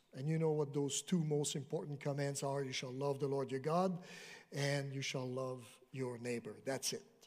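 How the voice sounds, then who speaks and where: Using a normal speaking voice, a man talks at a moderate pace, fairly high in pitch, with fairly even intonation. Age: 60s. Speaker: retired Bible professor. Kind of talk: sermon. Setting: church with congregation.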